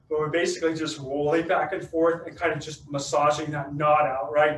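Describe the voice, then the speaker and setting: In a put-on character voice, a man talks at a fairly quick pace, raspy and strained, fairly high in pitch, monotone and flat, with a slight echo and light background noise. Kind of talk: instructional. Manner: strained, talking with effort.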